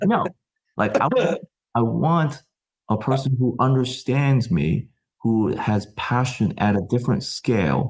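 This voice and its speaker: With vocal fry and an American accent, a man speaks at medium pitch and a fairly slow pace, using lively intonation at a very even loudness. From US Midwest, Chicago. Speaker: tech company founder. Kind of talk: podcast discussion. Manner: passionate, emphatic.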